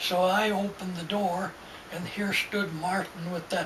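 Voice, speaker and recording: A high-pitched man talks at a fairly slow pace with monotone, flat intonation. Noticeable background noise and audible room echo surround him. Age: 90s. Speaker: elderly storyteller. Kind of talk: casual chat. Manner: halting.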